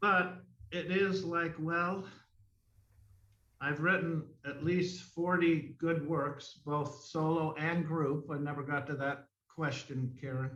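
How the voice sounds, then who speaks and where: A man's fairly high voice with audible room echo. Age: 60s. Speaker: mime artist. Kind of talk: interview. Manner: conversational, with many fillers.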